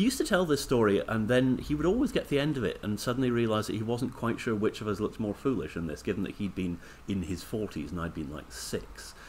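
Speaking very fast with hardly any pauses, a man with a Scottish accent uses lively intonation at a medium pitch. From Scotland. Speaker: broadcaster and commentator. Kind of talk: casual chat.

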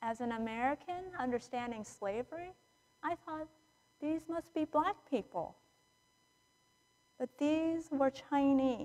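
A woman's high-pitched voice at a fairly slow pace, with ordinary pitch variation and long, frequent pauses. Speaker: preacher. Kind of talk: sermon. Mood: somber, reflective. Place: church.

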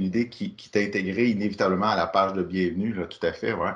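A man speaks in an ordinary speaking voice at a fairly low pitch. His pace is moderate and his intonation fairly even. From Quebec. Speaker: workshop facilitator. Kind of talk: online workshop presentation. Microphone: video call.

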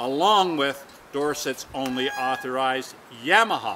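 Light background noise sits under a man's voice. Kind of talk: promotional talk to camera. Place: open country. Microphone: camera far.

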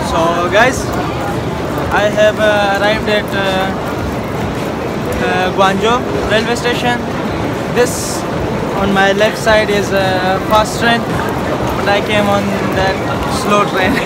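Over loud background noise, a man speaks at a very slow pace with long, frequent pauses. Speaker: travel vlogger. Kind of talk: casual vlog chat. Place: station. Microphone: phone near.

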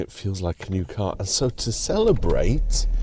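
The voice belongs to a man, dark and mellow in tone. It is somewhat breathy, with a dry sound and no echo. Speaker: driving vlogger. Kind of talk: casual vlog chat. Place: car. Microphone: lapel.

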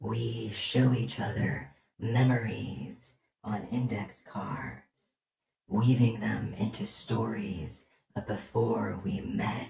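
In a cartoonish character voice with a fairly low pitch, a man speaks at a very slow pace with a slight echo. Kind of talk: poetry reading. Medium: puppet. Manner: tender, dreamy.

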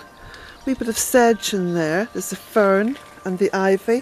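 A woman with an Irish accent, faint music in the background, and a dry sound with no echo. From Ireland. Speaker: smallholder vlogger. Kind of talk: casual walk-and-talk vlog. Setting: outdoors. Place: garden. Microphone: phone near.

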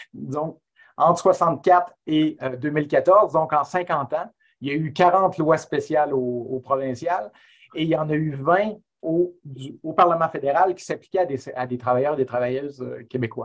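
Against a quiet background, a man speaks at a fairly high pitch. His pitch variation is ordinary, but his loudness swings a lot. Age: 50s. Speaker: history professor; webinar guest. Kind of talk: webinar talk. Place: home room. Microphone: earbuds.

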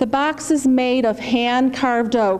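Speaking with an American accent, a woman has a high pitch. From US Midwest. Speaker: master of ceremonies. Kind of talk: ceremonial speech. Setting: stage with audience. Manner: formal. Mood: warm, storytelling. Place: hall. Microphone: podium.

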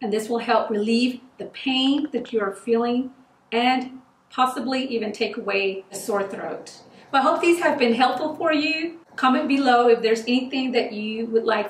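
Audible room echo surrounds a woman with a high pitch. She speaks at a moderate pace with ordinary pitch variation. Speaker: home remedy vlogger. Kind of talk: casual vlog chat. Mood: warm, helpful. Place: home room.

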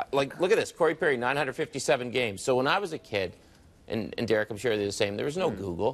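With lively intonation, a man talks at a very fast pace. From Nova Scotia, Canada. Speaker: sports broadcaster and hockey card collector. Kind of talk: casual interview. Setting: TV studio. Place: studio. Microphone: lapel.

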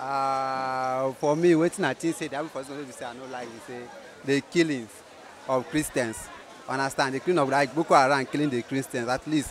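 A man with fairly even intonation, dry sound with no echo, and light background noise. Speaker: interviewee. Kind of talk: interview answer. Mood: relaxed, smiling. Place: market. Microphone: handheld.

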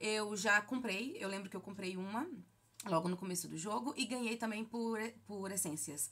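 A woman with a bright, sharp tone speaks at a medium pitch. Her pace is moderate and her pitch variation ordinary. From Brazil, Bahia (Feira de Santana); Bahia, Brazil. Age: 30s. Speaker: gaming YouTuber. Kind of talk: casual Q&A vlog. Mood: relaxed, friendly. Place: home room. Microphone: phone near.

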